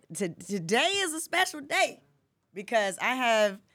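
Raising and projecting her voice, a woman talks in an animated tone with very wide pitch swings. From Atlanta area, Georgia (Decatur). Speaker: podcast host. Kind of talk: casual interview chat. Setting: studio.

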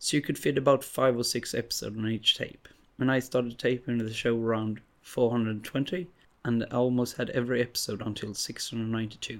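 The speaker has a Swedish accent and a moderate pace. Intonation stays fairly even. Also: man, medium pitch for a man. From Sweden. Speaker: podcast host. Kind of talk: casual monologue.

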